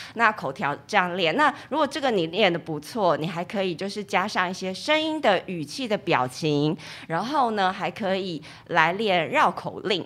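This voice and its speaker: Her pitch sits at a medium level for a woman, with very wide swings. She speaks at a moderate pace. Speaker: event emcee. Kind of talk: casual interview chat.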